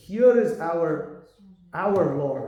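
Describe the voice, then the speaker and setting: A man with an Indian accent speaks with ordinary pitch variation amid audible room echo. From South India, Tamil. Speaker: monk preacher. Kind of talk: lecture. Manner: animated.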